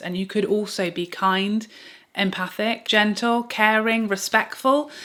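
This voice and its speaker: A woman with an English accent and ordinary pitch variation. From England. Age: 30s. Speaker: beauty YouTuber. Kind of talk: casual reaction monologue to camera.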